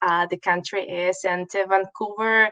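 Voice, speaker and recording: The sound is dry and close, with no echo. A woman speaks at a medium pitch with fairly even intonation. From Russia. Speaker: college marketing manager. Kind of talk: webinar presentation. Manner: hesitant, many fillers.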